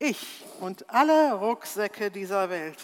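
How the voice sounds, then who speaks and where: A woman's voice at a medium pitch. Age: 60s. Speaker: preacher. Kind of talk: sermon.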